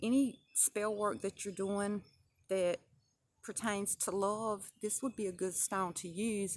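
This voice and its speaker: With a Southern US accent, the relaxed speech comes at a very slow pace with ordinary pitch variation. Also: woman. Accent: Southern twang. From US South. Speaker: crystal and spell work vlogger. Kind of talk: casual tutorial. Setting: outdoors at the edge of the woods. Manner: relaxed, with many fillers (um).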